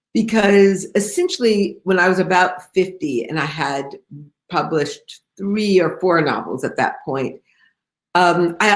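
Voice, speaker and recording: A woman with an American accent speaks in a plain, everyday voice at a medium pitch with ordinary pitch variation. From Detroit, US Midwest. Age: 60s. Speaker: novelist. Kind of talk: author interview. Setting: video call.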